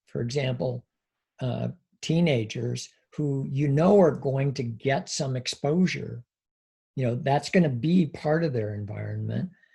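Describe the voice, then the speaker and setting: Somewhat breathy and dark, mellow in tone, a man of medium pitch speaks at a fairly slow pace with ordinary pitch variation. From US Northwest (Washington State). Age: 60s. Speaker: psychology professor. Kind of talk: interview conversation. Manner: hesitant, many fillers.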